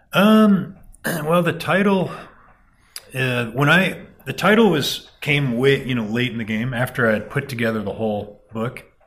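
At a moderate pace, a man of medium pitch speaks with very wide pitch swings. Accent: American. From Dayton, Ohio. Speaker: poet and farrier. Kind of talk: interview conversation. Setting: at home.

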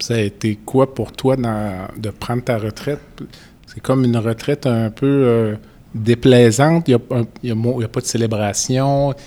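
A man with a plain, everyday voice speaks at a medium pitch and a fairly slow pace, his intonation fairly even. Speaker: podcast host, physician. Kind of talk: interview. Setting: conference venue.

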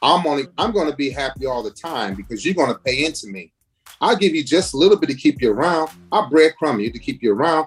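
A man with an American accent, fairly high in pitch, with vocal fry, lively intonation and a very fast pace. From US inner city. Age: 50s. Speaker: navy veteran and life coach. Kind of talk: interview.

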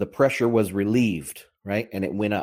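A man's fairly low voice, with ordinary pitch variation, comes across on a very clean recording against a silent background. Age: 40s. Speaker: bitcoin and macro podcast host. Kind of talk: solo commentary livestream. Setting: livestream on Telegram and Twitter Spaces. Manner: animated.

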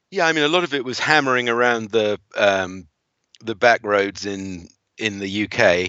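Lively intonation from a man with an English accent, medium pitch and a moderate pace. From England. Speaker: driving instructor. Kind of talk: casual interview.

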